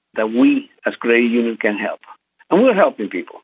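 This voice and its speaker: His pitch variation is ordinary. The man's voice sits at a medium pitch. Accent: Spanish. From Venezuela. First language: Spanish. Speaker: credit union community relations director. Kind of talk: interview.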